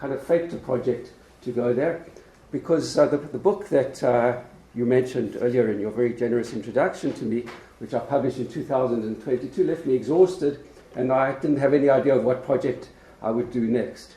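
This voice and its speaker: Amid noticeable background noise and audible room echo, a man with a South African accent talks at a fairly quick pace with ordinary pitch variation. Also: medium pitch for a man. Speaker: law professor. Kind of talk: lecture. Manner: hesitant with frequent fillers.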